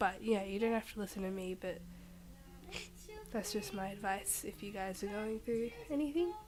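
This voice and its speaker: A soft-spoken woman at medium pitch, with long, frequent pauses and noticeable background noise. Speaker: vlogger. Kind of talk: casual vlog monologue. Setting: at home.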